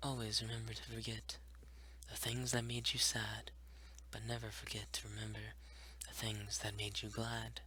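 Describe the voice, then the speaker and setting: Over noticeable background noise, a man speaks in a very deep, low voice with monotone, flat intonation. His pace is moderate, broken by long, frequent pauses. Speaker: ASMR creator. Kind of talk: ASMR poetry reading. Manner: whispered, soft-spoken.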